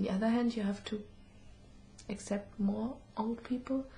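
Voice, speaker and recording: A woman speaks in a dark, mellow, somewhat breathy tone at a moderate pace. Her intonation is monotone and flat. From Germany. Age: 20s. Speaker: student. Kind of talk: interview. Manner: halting.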